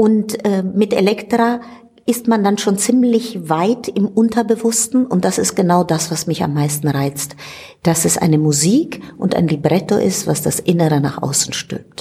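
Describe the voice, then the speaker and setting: A woman's lively intonation carries over noticeable background noise. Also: medium pitch for a woman. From Italy. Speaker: stage director and actress. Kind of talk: interview.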